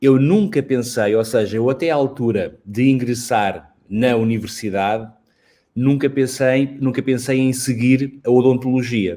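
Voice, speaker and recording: Male voice of medium pitch and dark, mellow tone at a fairly slow pace, on a very clean recording with a silent background. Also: ordinary pitch variation. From Portugal, Lisbon. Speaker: dentistry professor. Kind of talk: interview.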